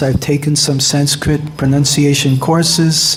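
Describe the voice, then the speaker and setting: A man with a New York accent talks at a fairly slow pace. Audible room echo and noticeable background noise surround his voice. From US, New York. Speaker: monk and spiritual teacher. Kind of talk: lecture.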